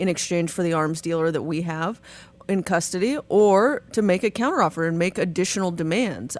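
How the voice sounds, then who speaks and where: A woman with a normal speaking voice talks at a fairly quick pace, pitched fairly low with ordinary pitch variation. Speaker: attorney. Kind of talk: legal commentary on sports news.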